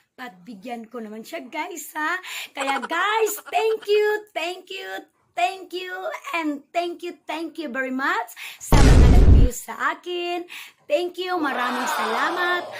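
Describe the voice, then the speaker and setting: Over music in the background, a woman talks very slowly at an extremely high pitch, her intonation lively and her loudness swinging widely. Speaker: vlogger. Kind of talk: casual vlog. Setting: at home indoors. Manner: soft-spoken.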